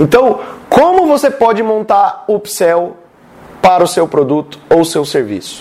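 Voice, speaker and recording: Over noticeable background noise, a man speaks at a fairly slow pace, his high pitch making very wide pitch swings. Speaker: sales and marketing content creator. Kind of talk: tutorial. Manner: animated.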